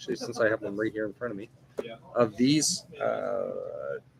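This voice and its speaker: A man at a moderate pace, fairly high in pitch, with noticeable background noise. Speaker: gaming channel host. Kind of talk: casual chat. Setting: in a store. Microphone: laptop.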